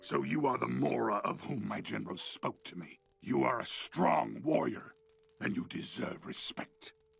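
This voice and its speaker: A put-on character voice growls its way through the lines. The pace is moderate. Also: man, very deep, low pitch for a man. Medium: video game. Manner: commanding, imperious.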